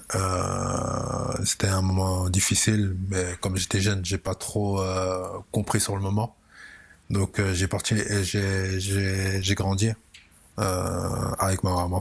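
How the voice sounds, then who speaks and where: At a very slow pace, a man talks with a very deep, low pitch, monotone, flat intonation and very even loudness. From Belgium, Brussels (Molenbeek). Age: 30s. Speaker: football coach. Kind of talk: interview.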